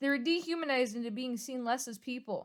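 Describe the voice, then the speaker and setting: Shouting loudly at a fairly quick pace, a woman uses a high pitch with ordinary pitch variation. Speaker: YouTuber. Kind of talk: apology vlog. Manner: loud, near yelling.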